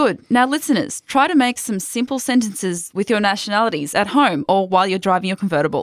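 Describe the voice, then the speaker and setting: A woman with an Australian accent talks at a very fast pace and a medium pitch, with very wide pitch swings and hardly any pauses. The recording is very clean, with a silent background. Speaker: language podcast host. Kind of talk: language lesson.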